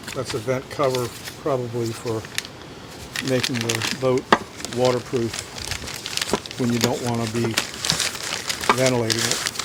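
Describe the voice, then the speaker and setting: Against noticeable background noise, a man speaks fairly slowly in a monotone, flat intonation with long, frequent pauses. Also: medium pitch for a man. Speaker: storage unit buyer. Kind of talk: casual talk to camera.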